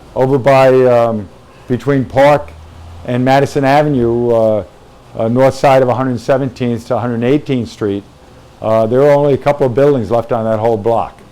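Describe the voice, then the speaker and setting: Noticeable background noise accompanies a man talking at a moderate pace. His pitch is medium and his intonation fairly even. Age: 60s. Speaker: firefighter captain. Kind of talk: interview. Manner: halting, many fillers.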